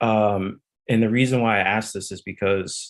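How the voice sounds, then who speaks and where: With an American accent, the speaker delivers monotone, flat intonation at a fairly slow pace. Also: man. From US South. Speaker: audience member asking a question. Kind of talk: question from audience. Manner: hesitant, many fillers.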